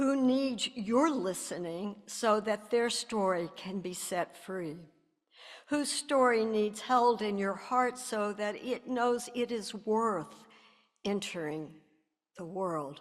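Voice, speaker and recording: Lively intonation at a very slow pace, with an American accent. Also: woman, fairly high pitch for a woman. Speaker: minister. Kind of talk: reading aloud.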